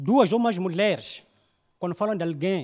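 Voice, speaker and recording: A man with a high-pitched voice speaks at a fairly slow pace with ordinary pitch variation against a quiet background. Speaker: stand-up comedian. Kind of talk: stand-up comedy; stand-up comedy routine. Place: stage. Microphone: handheld.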